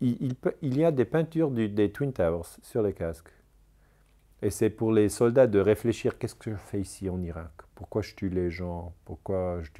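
A man's fairly low-pitched voice with a dark, mellow tone, lively intonation and a moderate pace. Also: quiet background. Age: 40s. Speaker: historian; interviewee. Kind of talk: interview. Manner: halting. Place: home room.

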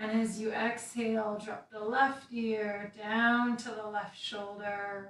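A woman's fairly high, calm and soothing voice at a very slow pace with hardly any pauses, monotone and flat in intonation, with big swings in loudness, audible room echo and light background noise. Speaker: meditation instructor. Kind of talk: guided meditation and gentle movement class, calm and instructive. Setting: video livestream to online audience. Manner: calm, soothing, slow-paced; casual, chatty with filler words in intro. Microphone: camera far.

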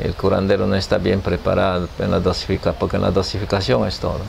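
Light noise sits in the background as a man talks. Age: 60s. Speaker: healer. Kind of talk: interview. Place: home room.

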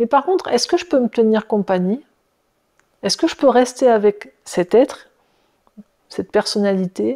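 Against a quiet background, a woman with a dark, mellow tone talks at a fairly slow pace. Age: 50s. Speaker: personal development teacher; workshop facilitator. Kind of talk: casual video monologue. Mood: calm, thoughtful. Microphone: lapel.

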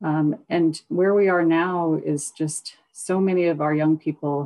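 Over a quiet background, a woman with an Alaskan accent speaks in a very deep, low pitch with monotone, flat intonation. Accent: Alaskan American English. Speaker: corporate lawyer and executive; corporate lawyer. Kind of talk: panel discussion. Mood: calm, reflective. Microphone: video call.

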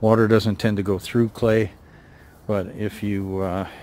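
This man speaks at a fairly slow pace in a fairly low pitch with a slightly mellow tone. His pitch moves very little.

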